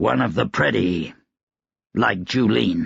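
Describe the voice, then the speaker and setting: A man puts on a raspy character voice, talking at a fairly slow pace. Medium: read story. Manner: curt, commanding.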